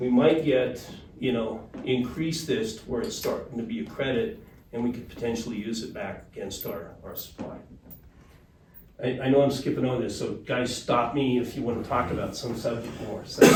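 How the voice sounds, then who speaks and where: Medium-pitched male speech, audible room echo around it. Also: ordinary pitch variation. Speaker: water resources consultant. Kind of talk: presentation to a board. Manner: fast.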